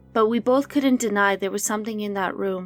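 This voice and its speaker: Speaking in a normal speaking voice, a woman talks at a fairly quick pace with medium pitch and fairly even intonation, in a very clean recording with a silent background and a dry, close sound with no echo. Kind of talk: horror story narration.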